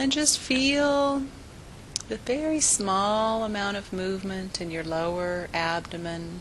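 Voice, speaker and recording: Amid audible room echo, a woman with a medium pitch talks at a very slow pace, her pitch swinging very widely. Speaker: physical therapist and movement teacher. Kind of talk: guided relaxation class. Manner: gentle, calm.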